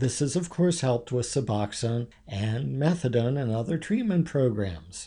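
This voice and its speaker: A man with an American accent speaks at a moderate pace in a somewhat breathy, medium-pitched voice. His tone is dark and mellow, with lively intonation. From Maryland (Havre de Grace). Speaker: radio host and addiction doctor. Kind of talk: radio talk show monologue. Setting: radio studio.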